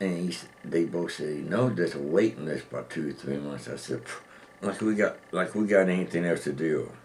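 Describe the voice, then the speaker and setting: Over noticeable background noise, a man talks at a moderate pace with a very deep, low pitch and ordinary pitch variation. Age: old. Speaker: formerly homeless man. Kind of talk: interview.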